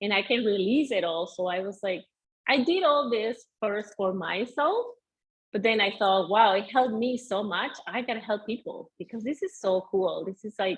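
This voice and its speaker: This woman's voice sits fairly high in pitch. She speaks at a moderate pace with ordinary pitch variation. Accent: Venezuelan. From Venezuela. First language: Spanish. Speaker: mindset coach. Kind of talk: interview.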